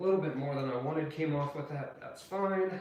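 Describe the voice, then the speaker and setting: In a room with audible echo, a man with a fairly high pitch talks at a moderate pace with ordinary pitch variation. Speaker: cooking video creator. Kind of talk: cooking tutorial with casual chat.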